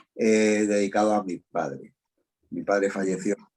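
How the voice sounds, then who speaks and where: The man's voice sits fairly low as he talks at a moderate speed. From Spain, Madrid. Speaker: voice actor and dubbing director. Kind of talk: interview. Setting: video call.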